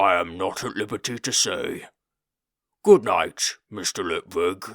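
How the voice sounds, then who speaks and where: A man puts on a booming, raspy character voice at fairly low pitch and a fairly slow pace. The recording is very clean with a silent background. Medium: read story. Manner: flat, formal, literal.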